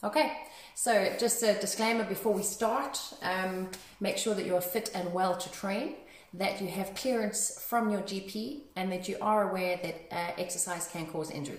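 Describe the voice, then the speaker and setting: A woman at a moderate pace, with audible echo from the room. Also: ordinary pitch variation. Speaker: fitness instructor. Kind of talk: class instruction. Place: gym. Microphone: phone near.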